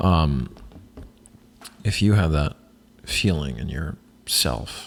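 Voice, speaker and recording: A soft-spoken man speaks with a very deep, low pitch and vocal fry. His intonation is lively. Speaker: podcast host and actor. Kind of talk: solo casual monologue. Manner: halting, many fillers.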